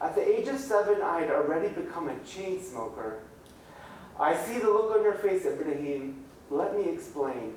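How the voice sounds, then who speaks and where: A man keeps a moderate pace amid audible room echo and noticeable background noise. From Middle East. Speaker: author. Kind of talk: reading aloud. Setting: library event with audience.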